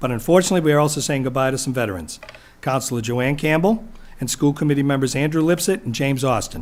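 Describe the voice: A man at a fast pace, medium in pitch, with ordinary pitch variation.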